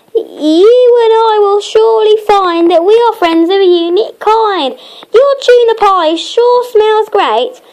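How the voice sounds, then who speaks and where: A squeaky, put-on character voice speaks at a fairly slow pace with ordinary pitch variation and very even loudness. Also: woman, extremely high pitch for a woman. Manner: eager, hungry.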